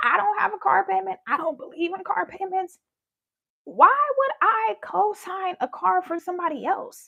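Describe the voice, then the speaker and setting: Bright and sharp in tone, a woman's voice at an extremely high pitch comes out raised and projected, animated, at a fairly slow pace. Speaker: spiritual content creator. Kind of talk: live stream monologue. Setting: live stream. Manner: casual, animated storytelling.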